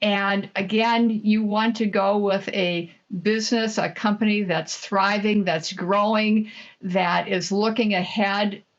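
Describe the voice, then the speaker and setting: Speaking in a Midwestern accent, a woman talks at a very slow pace with very even loudness. Her intonation is monotone and flat. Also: medium pitch for a woman. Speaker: franchise consultant. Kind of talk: interview.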